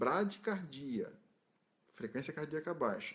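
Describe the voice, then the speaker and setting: A man speaks with lively intonation. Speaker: ICU nurse educator. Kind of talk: recorded tutorial talk. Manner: fast; halting, with repetitions.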